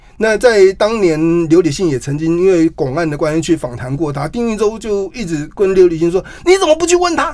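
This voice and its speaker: Pitched high for a man, he speaks at a fairly quick pace with hardly any pauses over noticeable background noise. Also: lively intonation. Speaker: journalist and author. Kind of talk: interview.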